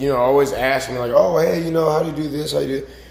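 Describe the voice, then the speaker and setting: A man talks with fairly even intonation, with audible room echo and noticeable background noise in the recording. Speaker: fitness coach. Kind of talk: motivational talk to camera. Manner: casual, filler-heavy.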